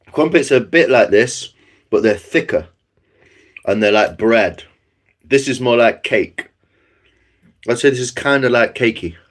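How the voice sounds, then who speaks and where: A man with a Nottinghamshire accent in a relaxed tone, at a moderate pace with long, frequent pauses and ordinary pitch variation. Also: medium pitch for a man. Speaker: livestreamer. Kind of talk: casual chat. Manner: relaxed, hesitant with fillers.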